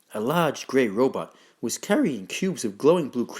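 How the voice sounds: Natural voice, reading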